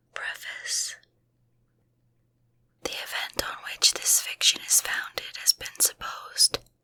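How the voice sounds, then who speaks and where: A woman whispers at a fairly slow pace. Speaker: ASMR content creator. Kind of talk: whispered audiobook reading of a classic novel, ASMR. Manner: whispered, quiet, relaxing.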